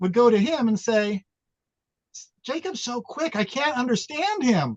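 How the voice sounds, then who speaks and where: A man with an American accent speaks at an extremely high pitch. His intonation is lively, and the sound is dry and close with no echo. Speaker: former teacher, social innovation speaker. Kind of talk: panel discussion. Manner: animated.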